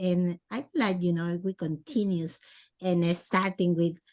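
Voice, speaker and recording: A woman speaks at a medium pitch with a Spanish accent. Her pace is fairly slow. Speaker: podcast host. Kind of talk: interview. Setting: video call. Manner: halting.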